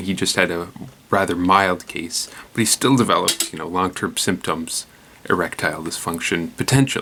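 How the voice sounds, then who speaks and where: Soft-spoken and very deep, this man's low voice moves at a moderate pace. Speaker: news commentary show host. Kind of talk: casual news commentary. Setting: at home at night. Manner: quiet, soft-spoken; hesitant, many fillers.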